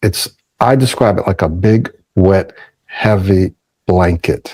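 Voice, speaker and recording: A man with a plain, everyday voice talks at a fairly slow pace with ordinary pitch variation. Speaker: speech coach. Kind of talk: podcast interview answer. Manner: reflective, personal storytelling.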